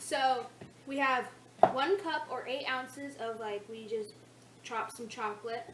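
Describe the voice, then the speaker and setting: A woman talks at a high pitch with ordinary pitch variation. Room echo is audible, and background noise is noticeable. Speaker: cooking video creator. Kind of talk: casual cooking tutorial.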